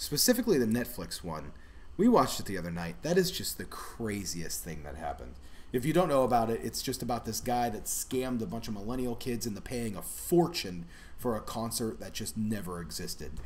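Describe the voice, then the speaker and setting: Audible room echo follows a man of medium pitch whose voice makes very wide pitch swings at a fairly quick pace. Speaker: food channel host. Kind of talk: casual live stream chat. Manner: mumbling.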